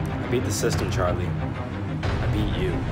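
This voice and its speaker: Clear music sits in the background. Over it, a man speaks at a moderate pace. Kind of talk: acted comedy dialogue. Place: home room. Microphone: phone near.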